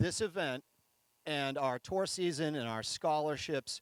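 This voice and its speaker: Recorded dry and close with no echo, a man with an American accent talks at a moderate pace with ordinary pitch variation. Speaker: nonprofit event host. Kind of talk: speech at outdoor event.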